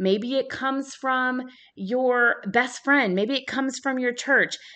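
A woman speaks at a high pitch in a warm, energetic tone. Her pace is fairly slow, with ordinary pitch variation against a quiet background. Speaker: podcast host. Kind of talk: solo podcast talk, motivational and faith-based. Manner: passionate, animated, loud at times; warm, energetic, conversational.

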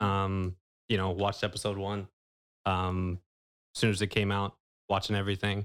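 The speaker talks at a moderate pace with a Californian accent and a monotone, flat intonation. The sound is dry and close with no echo, in a very clean recording with a silent background. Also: man. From California Central Valley (Manteca). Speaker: banker. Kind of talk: casual interview. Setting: studio.

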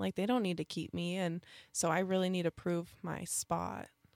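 On a very clean recording with a silent background and a dry, close sound with no echo, a woman speaks in a normal speaking voice at a medium pitch and moderate pace. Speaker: pro basketball team dancer. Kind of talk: casual radio interview. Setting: radio studio.

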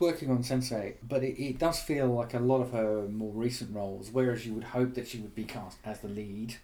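A man talks at a moderate pace, his pitch medium. His tone is dark and mellow. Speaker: podcast host, film website founder. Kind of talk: casual chat.

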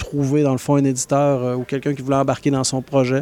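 A man's fairly high-pitched voice with a dark, mellow tone, in a dry, close recording without echo. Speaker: book publisher. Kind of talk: interview.

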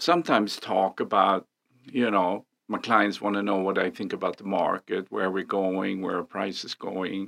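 A man with a Swedish accent speaks fairly slowly in a fairly low pitch. The sound is dry and close with no echo, on a very clean recording with a silent background. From Sweden. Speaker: real estate agent. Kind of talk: casual chat.

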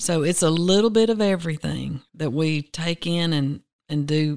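Her voice is very deep and low for a woman, with ordinary pitch variation. She speaks in a Southern US accent. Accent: Southern US (Georgia). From US South, Rome, Georgia. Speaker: agency director, dietitian. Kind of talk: interview. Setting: studio.

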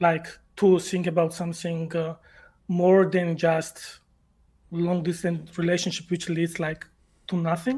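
Someone speaks at a moderate pace with a Georgian accent. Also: man. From Georgia (country). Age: 20s. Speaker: caller. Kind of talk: call-in question. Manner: halting.

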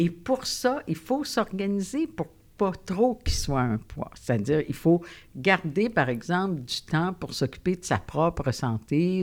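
On a very clean recording with a silent background, a woman with a fairly low pitch speaks in very wide pitch swings. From Quebec, Gaspésie. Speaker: psychologist. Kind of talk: interview. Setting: studio.

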